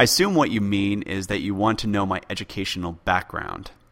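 Bright and sharp in tone, a man's fairly low voice moves at a fairly quick pace. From born in UK, raised in US. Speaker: podcast host, history podcaster. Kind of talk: solo listener Q&A, casual explanatory.

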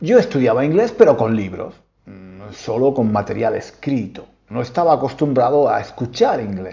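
With a Spanish accent, a man talks at a moderate pace in a medium pitch, somewhat breathy and with lively intonation. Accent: Peninsular Spanish. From Spain. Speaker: podcast host, Spanish teacher. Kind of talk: casual monologue for learners. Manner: halting, many repetitions.

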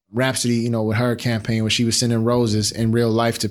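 Talking at a very fast pace, a man with an American accent keeps a medium pitch. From Chicago, South Side. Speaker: design executive and startup founder. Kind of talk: interview. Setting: studio.

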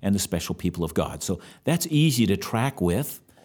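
On a very clean recording with a silent background, a man talks at a fairly quick pace in a fairly low pitch. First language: German. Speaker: bible teacher. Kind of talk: religious Q&A discussion. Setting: studio.

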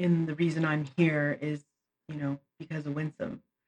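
A woman talks with a very deep, low pitch. Her intonation stays fairly even. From Canada, Punjabi Indian diaspora. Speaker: visual artist and arts educator. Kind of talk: interview.

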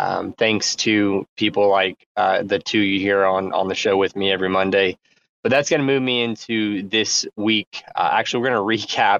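A man speaks in a normal speaking voice with a fairly low pitch, fairly even intonation, very even loudness and a moderate pace, in a dry, close sound with no echo. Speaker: podcast host and project founder.

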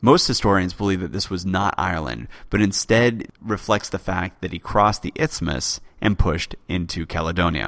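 A man speaks at a moderate pace with a very deep, low pitch, lively intonation and vocal fry. The recording is very clean, with a silent background. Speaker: history podcast host. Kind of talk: scripted narration.

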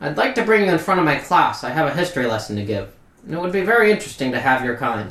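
A man puts on a nasal character voice at a fairly high pitch. He talks at a very fast pace with very wide pitch swings. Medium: actual play. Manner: curt, condescending.

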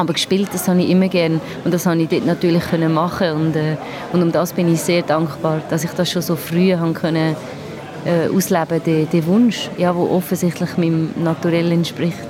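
Amid crowd noise and audible room echo, a woman with a fairly low pitch speaks at a fairly quick pace, her loudness very even and her intonation monotone and flat. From Basel, Switzerland. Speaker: musician and filmmaker. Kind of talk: interview. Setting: restaurant. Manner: halting.

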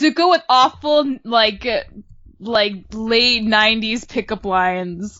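A woman's plain, everyday voice, fairly high in pitch and fairly slow, with ordinary pitch variation and very even loudness. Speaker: podcast co-host. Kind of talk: casual chat.

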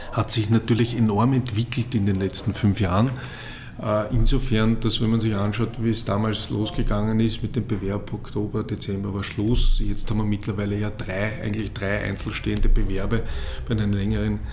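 A man's monotone, flat delivery at a moderate pace, with audible room echo and noticeable background noise. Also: fairly low pitch for a man. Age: 40s. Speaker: football league executive. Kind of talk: interview.

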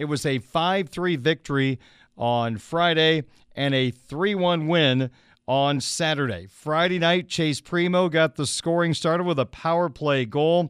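In a very clean recording with a silent background, a man with a plain, everyday voice speaks at a fairly slow pace, his fairly high pitch showing ordinary pitch variation. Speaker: radio sports host. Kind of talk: live sports radio talk show; hockey play-by-play recap. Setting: radio studio.

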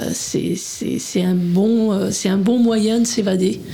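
Against noticeable background noise and audible room echo, a woman talks at a medium pitch with fairly even intonation. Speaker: hiking club communications volunteer. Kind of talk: radio interview. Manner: soft-spoken. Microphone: too quiet, far from mic.

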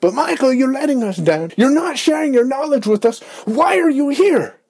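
A man adopts a put-on character voice with an extremely high pitch, keeping to a moderate pace. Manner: dramatic, accusing.

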